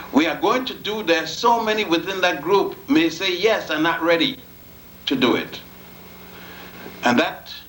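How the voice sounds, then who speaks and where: A man's lively intonation in a room with audible echo. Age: 70s. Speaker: lecturer on African history. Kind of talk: lecture.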